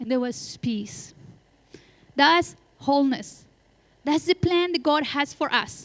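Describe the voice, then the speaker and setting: A woman speaks with a non-native accent at a moderate pace. Her voice is high-pitched, with ordinary pitch variation. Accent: noticeable foreign. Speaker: pastor. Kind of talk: sermon. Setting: church.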